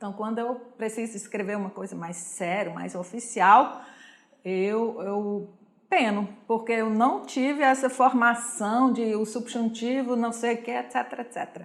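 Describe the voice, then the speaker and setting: A woman speaks fairly slowly at a fairly high pitch, with ordinary pitch variation and big swings in loudness. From Switzerland, Zurich. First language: Swiss German (speaking Portuguese). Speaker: German teacher and honorary consul. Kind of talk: interview.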